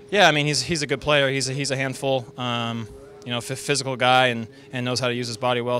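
Very fast, monotone speech with flat intonation, a dry sound with no echo, and faint music in the background. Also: man. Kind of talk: interview answer. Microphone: handheld.

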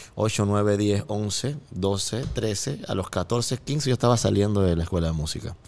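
In a Panamanian accent, a man with a fairly low pitch talks at a fairly slow pace. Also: ordinary pitch variation. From Panama, Colón. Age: 30s. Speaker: music producer; guest. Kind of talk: casual chat. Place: studio. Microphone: studio mic.

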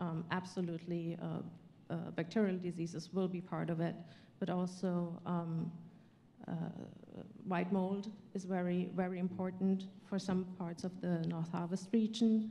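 Over light background noise, a woman with a German accent speaks at a moderate pace in a fairly low pitch, her somewhat breathy, dark and mellow voice flat and monotone. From Germany. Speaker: panelist plant pathologist. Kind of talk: panel discussion. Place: hall. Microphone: handheld.

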